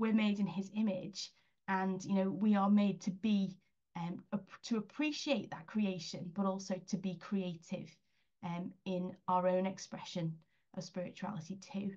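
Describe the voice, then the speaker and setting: Somewhat breathy, this voice with an English accent keeps a fairly even intonation. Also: woman, medium pitch for a woman, fairly slow pace. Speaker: independent advisor to schools on spiritual flourishing. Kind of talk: online presentation.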